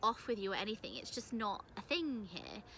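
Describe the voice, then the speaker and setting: Speaking at a moderate pace, a woman with a British accent has a medium pitch and a bright, sharp tone. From UK. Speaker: English teacher abroad and vlogger. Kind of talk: casual vlog. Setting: outdoors in a park. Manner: casual, filler-heavy.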